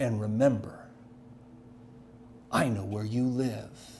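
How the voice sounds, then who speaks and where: In a put-on character voice, a man hisses at a medium pitch and fairly slow pace, with fairly even intonation and clear background noise. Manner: menacing, hissed.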